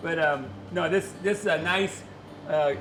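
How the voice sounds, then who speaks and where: A man speaks at a moderate pace with ordinary pitch variation, amid noticeable background noise and audible room echo. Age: 70s. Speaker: outdoors show host. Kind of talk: outdoor how-to demonstration. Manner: halting, many fillers.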